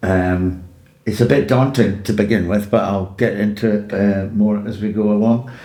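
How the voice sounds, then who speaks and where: Speech at a moderate pace with an Edinburgh accent and a dark, mellow tone. Audible echo fills the room. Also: man. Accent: Scottish (Edinburgh). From Scotland, Edinburgh. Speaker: podcast guest in recovery from addiction. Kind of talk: personal life story.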